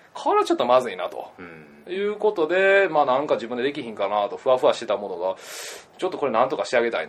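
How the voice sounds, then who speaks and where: Talking at a very fast pace, a man swings widely in loudness over noticeable background noise. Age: 20s. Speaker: backpacker and entrepreneur. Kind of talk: interview.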